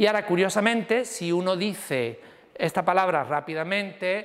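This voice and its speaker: With ordinary pitch variation, a man speaks at a moderate pace in a high pitch. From Andalusia, Seville. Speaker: university lecturer. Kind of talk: lecture.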